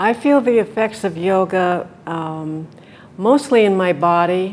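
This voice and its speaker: Noticeable background noise sits behind a woman whose fairly low pitch moves with ordinary variation at a fairly slow pace. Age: 70s. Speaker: retiree. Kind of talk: interview answer.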